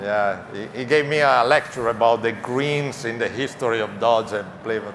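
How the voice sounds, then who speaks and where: The speaker talks at a moderate pace with an Italian accent. Audible room echo and noticeable background noise fill the recording. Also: man. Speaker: auto parts executive. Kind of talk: press conference. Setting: stage with audience.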